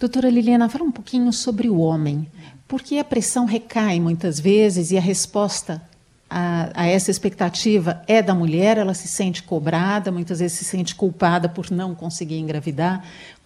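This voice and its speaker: A woman speaks at a medium pitch in a dark, mellow, somewhat breathy tone. Her pace is moderate, with ordinary pitch variation. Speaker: radio host. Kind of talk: radio talk show.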